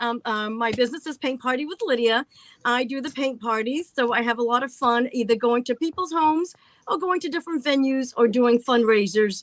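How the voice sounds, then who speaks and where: Ordinary pitch variation and a fairly quick pace mark this speaker with a Massachusetts accent. The sound is dry and close, with no echo. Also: woman, high pitch for a woman. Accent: northern US, Massachusetts. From Massachusetts, an hour from Boston. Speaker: paint party artist and crafter. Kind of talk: casual chat.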